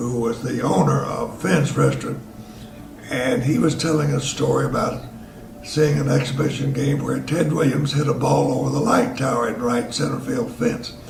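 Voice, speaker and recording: A man with a Tennessee accent at a moderate pace, with audible room echo and noticeable background noise. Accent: Southern US (Tennessee). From Tennessee (Chattanooga), US South. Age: 80s+. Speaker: elderly local resident sharing memories. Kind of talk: storytelling reminiscence. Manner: casual with frequent hesitations.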